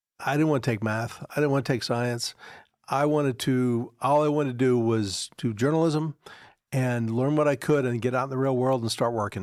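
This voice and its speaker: A man talks in a normal speaking voice at medium pitch and a moderate pace. Intonation is fairly even on a very clean recording with a silent background. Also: very even loudness. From Philadelphia area, then Virginia. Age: 60s. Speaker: sports broadcasting executive. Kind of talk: casual interview conversation.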